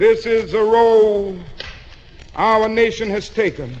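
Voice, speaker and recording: Over noticeable background noise, a man with an American accent speaks at a high pitch with fairly even intonation. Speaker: preacher. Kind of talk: sermon.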